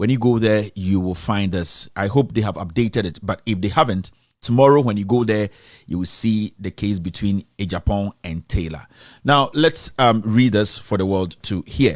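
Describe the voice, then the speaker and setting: This man has a Ghanaian accent and a fairly low pitch. He talks at a moderate pace with ordinary pitch variation. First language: Twi. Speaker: online commentator, defendant in the case. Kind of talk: casual commentary and reading aloud a ruling. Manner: code-switching between English and Twi; hesitant, many fillers.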